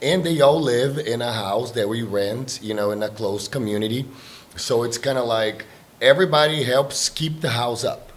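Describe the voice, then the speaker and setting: There is noticeable background noise behind a man with a medium-pitched voice. He speaks at a moderate pace with ordinary pitch variation. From Brazil. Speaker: exchange trip organizer. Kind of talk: casual chat.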